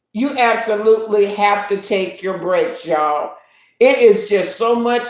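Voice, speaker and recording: A woman with a fairly high pitch and an American accent, an animated tone and ordinary pitch variation. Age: 70s. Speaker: YouTube livestream host. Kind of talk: casual live-stream chat.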